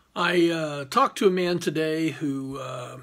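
Male speech with ordinary pitch variation. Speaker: criminal defense lawyer. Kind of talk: casual informational talk to camera. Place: office. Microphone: phone near.

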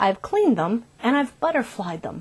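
A woman talks at a moderate pace. Her voice is high-pitched. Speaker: cooking show host. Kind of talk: tutorial. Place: kitchen. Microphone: lapel.

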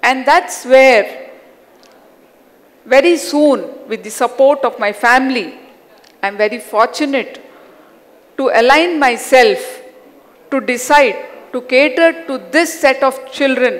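A woman with a Hyderabadi accent speaks at a very slow pace and a high pitch, leaving long, frequent pauses. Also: ordinary pitch variation. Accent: Indian English (Hyderabadi). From Hyderabad, India. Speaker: educator and self-awareness coach. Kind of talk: personal life story talk. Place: stage. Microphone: headset.

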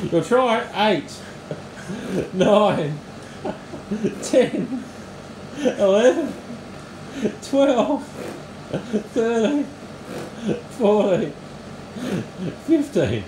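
This man's voice sits at an extremely high pitch, with lively intonation. He takes long, frequent pauses over noticeable background noise. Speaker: home exercise vlogger. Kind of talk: casual talk, coaching a friend through exercise. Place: home room. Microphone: camera far.

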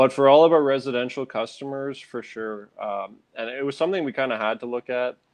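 A man with a Canadian accent and a normal speaking voice talks at a medium pitch. He moves at a fairly quick pace with hardly any pauses and big swings in loudness. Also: ordinary pitch variation. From Ontario, Canada (Sudbury). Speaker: former landscaping and snow removal business owner. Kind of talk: interview.

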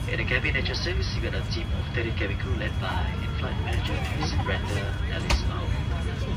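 A man talks with music playing in the background. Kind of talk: PA announcement. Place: plane.

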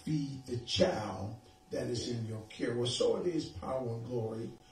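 A man with audible room echo and music in the background. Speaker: preacher. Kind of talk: sermon. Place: home room.

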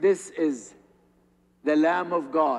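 The speaker is a man. Nothing much stirs behind him. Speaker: priest. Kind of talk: sermon. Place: church.

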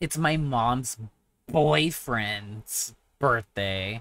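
Using a put-on character voice, a man speaks with a raspy sound, medium pitch and lively intonation, in a very clean recording with a silent background. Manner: mocking, hateful tone.

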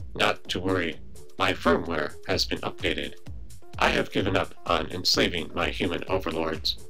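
A man puts on a character voice, very deep and low in pitch. He talks at a moderate pace over clear background music. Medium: machinima. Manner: deadpan, precise, formal.

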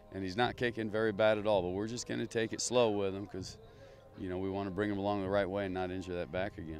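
Over faint music in the background, a man speaks at a fairly low pitch with fairly even intonation, the sound dry with no echo. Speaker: assistant football coach. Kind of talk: interview answer. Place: stadium. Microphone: handheld.

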